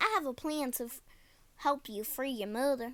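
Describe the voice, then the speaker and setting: A woman puts on a high-pitched character voice and keeps to a moderate pace. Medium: read story. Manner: casual, folksy, encouraging.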